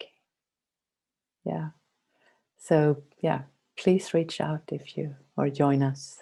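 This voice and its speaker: The speaker talks at a very slow pace in a Swedish accent. Long pauses come often. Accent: mild Swedish. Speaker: meditation guide. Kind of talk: casual chat.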